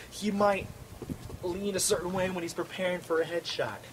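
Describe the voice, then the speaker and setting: Noticeable background noise sits behind a man's voice. He speaks fairly quickly at a high pitch. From New York. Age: 20s. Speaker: martial arts instructor. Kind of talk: instructional monologue. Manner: fast.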